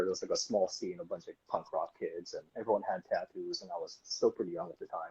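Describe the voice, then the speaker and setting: With a Californian accent, a man talks at a very fast pace in a dry, close sound with no echo. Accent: sounds Californian. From Japan, Tokyo until 12. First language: Japanese. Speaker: tattoo artist. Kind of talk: interview.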